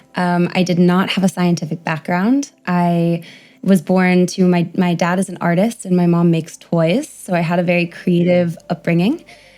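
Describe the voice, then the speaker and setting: A woman with a fairly low pitch, music in the background. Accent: American. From US, New York City. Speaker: primatologist. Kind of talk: podcast interview.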